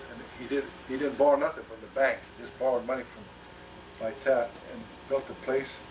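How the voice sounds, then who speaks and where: A man with an American accent and medium pitch, fairly even intonation, moderate pace and big swings in loudness, over noticeable background noise. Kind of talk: family oral history conversation. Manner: halting, many fillers.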